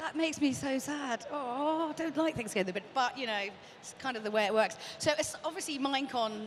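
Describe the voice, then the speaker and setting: A woman's high-pitched voice, fairly quick and lively in intonation, over noticeable background noise. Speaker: event show host. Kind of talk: casual interview chat. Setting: studio. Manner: fast.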